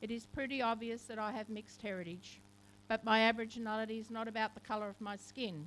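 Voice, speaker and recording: Talking at a very fast pace, a woman with an Australian accent speaks at medium pitch. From Australia, Camden (Macarthur region, NSW). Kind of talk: ceremonial speech. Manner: formal.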